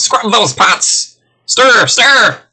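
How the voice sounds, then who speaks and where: Loudly, a man performs a put-on character voice. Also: extremely high pitch for a man. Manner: shouting, barking orders.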